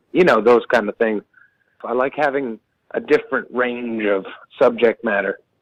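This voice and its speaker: At a moderate pace and medium pitch, a man speaks with ordinary pitch variation and long, frequent pauses, in a dry, close sound with no echo. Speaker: roots musician. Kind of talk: phone interview. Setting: phone call. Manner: casual, hesitant with fillers.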